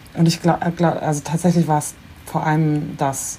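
Through noticeable background noise, a woman talks at a fairly quick pace with a very deep, low pitch. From Bremen, northern Germany. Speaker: internet personality. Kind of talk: casual chat.

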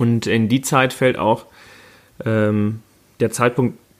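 At a fairly slow pace, a man speaks in a normal speaking voice at medium pitch. His intonation stays fairly even. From Münsterland, NRW (Warendorf-Freckenhorst). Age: 30s. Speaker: mayoral candidate. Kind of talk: casual chat.

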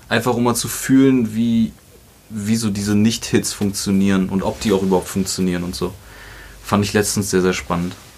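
At a moderate pace, a man with a fairly low voice and fairly even intonation talks in an unremarkable speaking voice. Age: 30s. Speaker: musician and producer. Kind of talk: casual chat.

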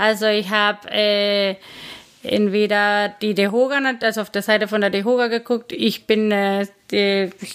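A woman speaks with a Spanish accent. Her pitch is fairly high and her intonation fairly even. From Guatemala. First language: Spanish (speaking German). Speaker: bar owner. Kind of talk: interview. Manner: halting, frequent fillers.

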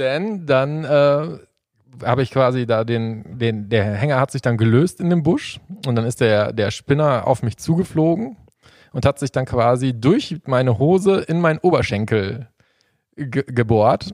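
In a very clean recording with a silent background and a dry, close sound with no echo, a man with an ordinary speaking voice talks at a fairly slow pace and medium pitch with lively intonation. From Sauerland, western Germany. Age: 30s. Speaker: angler and fishing YouTuber. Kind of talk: casual chat.

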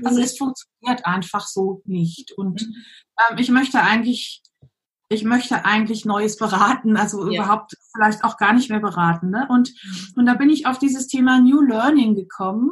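Somewhat breathy, a woman talks at a moderate pace in a fairly high pitch with ordinary pitch variation. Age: 50s. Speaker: coach, former pastor. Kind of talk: interview.

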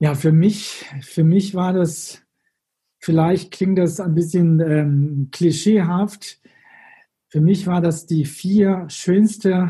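The speaker has a Chinese accent and a very slow pace. Long, frequent pauses break up the speech. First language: Chinese (speaking German). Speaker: former tour guide in China. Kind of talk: interview.

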